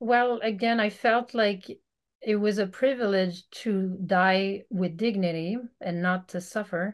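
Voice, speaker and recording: Someone with a French Canadian accent speaks at a fairly slow pace with fairly even intonation in a quiet background. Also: woman. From Quebec, Canada. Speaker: veterinarian. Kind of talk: casual interview. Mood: calm, reflective. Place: home room. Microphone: video call.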